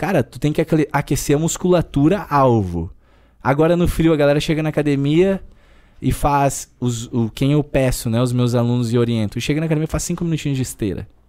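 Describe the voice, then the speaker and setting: Fairly high male voice, dark and mellow, with lively intonation at a moderate pace on a very clean recording with a silent background. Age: 20s. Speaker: personal trainer. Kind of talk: casual chat.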